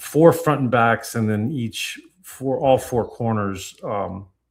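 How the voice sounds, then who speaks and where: At a very slow pace, a man speaks at a medium pitch with ordinary pitch variation and big swings in loudness. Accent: American. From Tampa, Florida. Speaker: card collecting podcast co-host. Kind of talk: casual live-stream chat. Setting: live stream. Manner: halting, repeats words.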